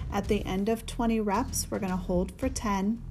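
Calm and dark, mellow in tone, a woman speaks at a fairly slow pace. Vocal fry runs through her voice. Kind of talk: guided breathwork meditation. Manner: calm, steady, coaching cadence with rhythmic repeated cues.

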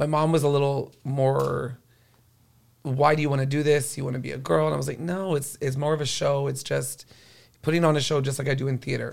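A man with an American accent speaks in a normal speaking voice at a fairly high pitch. His pace is fairly quick and his intonation fairly even. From Corpus Christi, Texas. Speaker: drag queen. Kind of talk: casual chat.

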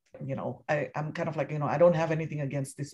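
Somewhat breathy, this woman's voice sits very deep and low, with fairly even intonation. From Indonesia. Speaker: film critic. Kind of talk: casual interview.

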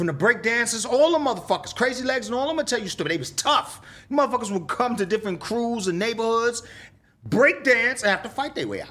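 Raised and projected, the voice moves at a very fast pace with an animated, bright, sharp tone. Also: man, extremely high pitch for a man, ordinary pitch variation. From New York, South Bronx. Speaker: rapper. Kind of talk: casual interview storytelling.

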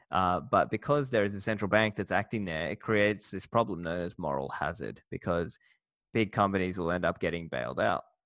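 There's a very clean recording with a silent background of a man with an Australian accent talking in a fairly low voice with lively intonation. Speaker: podcast host and bitcoin educator. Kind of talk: interview.

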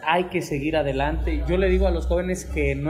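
Noticeable background noise and audible room echo surround the speaker. He is a man talking at a fairly quick pace. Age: 20s. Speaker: local politician. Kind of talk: interview. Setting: café, in person. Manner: passionate.

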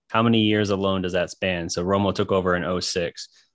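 A man speaks at a moderate pace in an unremarkable speaking voice. The background is quiet. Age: 30s. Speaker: sports podcast co-host. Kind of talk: casual chat.

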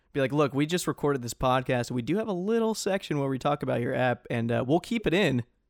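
The speech races at a very fast pace with hardly any pauses and lively intonation, recorded very cleanly against a silent background with a dry, close sound and no echo. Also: man, fairly high pitch for a man. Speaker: podcast host. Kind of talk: casual chat.

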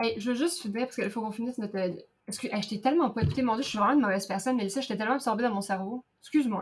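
The speech runs at a very fast pace. Its pitch variation is ordinary. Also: woman, fairly high pitch for a woman. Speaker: podcast co-host. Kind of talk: casual chat.

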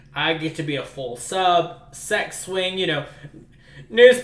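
Noticeable background noise runs through the clip. Over it, a man talks at a fairly slow pace. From US South, New Orleans. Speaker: podcast co-host. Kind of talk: casual chat.

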